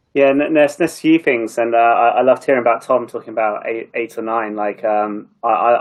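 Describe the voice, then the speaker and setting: A man speaks with an English accent. His intonation is fairly even. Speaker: marketing leader. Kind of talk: panel discussion. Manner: fast; mumbling.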